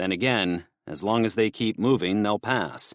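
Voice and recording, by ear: Someone is reading aloud in a natural voice, with ordinary pitch variation against a quiet background.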